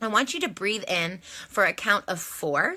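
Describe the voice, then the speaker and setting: Her voice sits at a medium pitch with a bright, sharp tone and lively intonation. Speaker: life coach. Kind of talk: guided breathing exercise. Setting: live stream.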